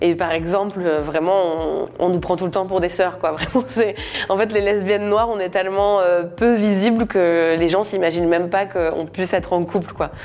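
Against noticeable background noise, a woman with a fairly low voice speaks at a very even loudness. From France, Normandy. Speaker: comedian. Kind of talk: personal testimony interview. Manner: casual, laughing often.

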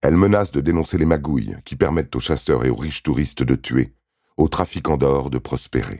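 A man's very deep, low voice, dark and mellow with vocal fry, dramatic in tone, at a fairly quick pace with ordinary pitch variation. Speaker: true-crime narrator. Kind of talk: true-crime narration, scripted and read aloud. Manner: grave, measured, dramatic delivery; steady, neutral, storytelling pace.

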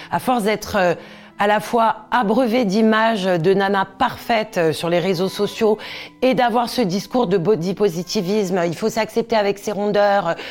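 A woman speaks fairly slowly at a medium pitch with fairly even intonation. Her loudness is very even. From Corsica. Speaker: TV presenter and stylist. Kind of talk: interview testimony. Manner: hesitant with fillers.

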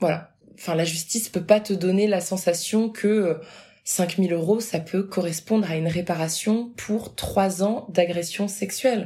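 A woman's somewhat breathy, dark, mellow voice of medium pitch, at a fairly slow pace with fairly even intonation. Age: 20s. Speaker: abuse survivor sharing her story. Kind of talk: personal testimony.

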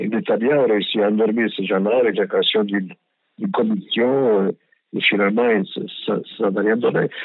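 A man talks at a fairly slow pace with long, frequent pauses. His pitch is fairly low and his intonation fairly even. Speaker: former ambassador. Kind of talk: interview. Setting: phone call. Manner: halting, many repetitions and hesitations.

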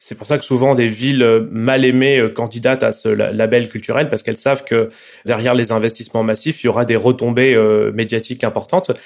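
This man has a plain, everyday voice at a medium pitch. He speaks at a fairly quick pace with fairly even intonation. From Marseille, southern France. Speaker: journalist. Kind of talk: interview.

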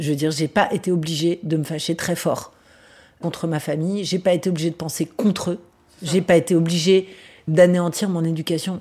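Somewhat breathy and dark, mellow in tone, a woman speaks at a fairly low pitch and moderate pace with fairly even intonation. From Paris region, France (Vincennes). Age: 40s. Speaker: radio journalist and interviewer. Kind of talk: interview conversation. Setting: at home.

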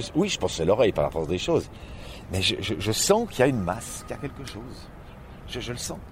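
Long, frequent pauses break up a man's very fast speech. His pitch swings very widely. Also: medium pitch for a man. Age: 60s. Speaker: blind echolocation practitioner. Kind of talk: interview.

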